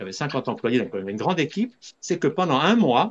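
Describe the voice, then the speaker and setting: Against a quiet background, a man speaks in a fairly high pitch with vocal fry. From Switzerland. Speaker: holistic doctor, spiritual teacher. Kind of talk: interview.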